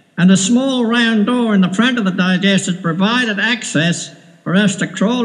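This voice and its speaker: A man's high-pitched voice moves at a moderate pace through noticeable background noise. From Wales. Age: 70s. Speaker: retired whaler and storyteller. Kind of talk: personal recollection, home tape recording. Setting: home recording.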